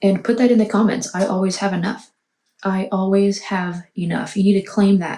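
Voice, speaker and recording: A woman speaks quietly at a moderate pace, her voice somewhat breathy with a dark, mellow tone. Her pitch is medium, and her intonation is monotone and flat. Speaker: tarot reader. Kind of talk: tarot reading monologue. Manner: quiet, hushed.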